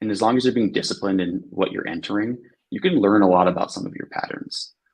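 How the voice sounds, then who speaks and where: It is an ordinary speaking voice: a man with an American accent, a fairly low pitch and ordinary pitch variation. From grew up abroad, outside the US. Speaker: analytics engineer. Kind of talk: podcast interview.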